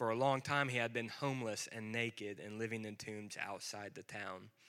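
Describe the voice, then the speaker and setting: Heard on a very clean recording with a silent background, a man has an ordinary speaking voice. He speaks at medium pitch and a moderate pace with ordinary pitch variation. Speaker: scripture reader. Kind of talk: reading aloud.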